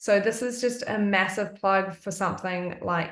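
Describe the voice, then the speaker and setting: A woman's medium-pitched voice with an Australian accent, fairly even intonation and a fairly slow pace. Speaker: essential oils wellness presenter. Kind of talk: live-streamed presentation. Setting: live stream at home, evening.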